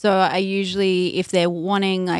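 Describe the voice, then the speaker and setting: A normal speaking voice from a woman, medium in pitch and fairly slow, on a very clean recording with a silent background. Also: dry, close sound with no echo. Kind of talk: interview advice, conversational.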